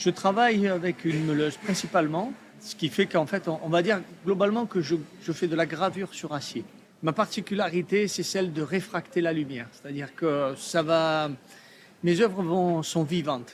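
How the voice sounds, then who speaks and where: Here a man speaks with a high pitch and ordinary pitch variation. His pace is moderate. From Provence, southern France. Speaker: artist. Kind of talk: interview. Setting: trade fair. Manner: hesitant, many fillers.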